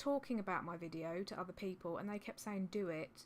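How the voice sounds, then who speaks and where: Speaking at a fairly quick pace, a woman with a southern English accent keeps a medium pitch and ordinary pitch variation. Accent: generic southern English. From Suffolk, England. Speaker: reseller vlogger. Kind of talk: casual vlog. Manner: rambling, hesitant with many ums.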